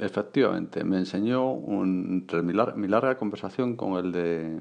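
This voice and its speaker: Fairly slow speech from a man with a very deep, low pitch. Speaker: podcaster. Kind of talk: casual vlog-style monologue.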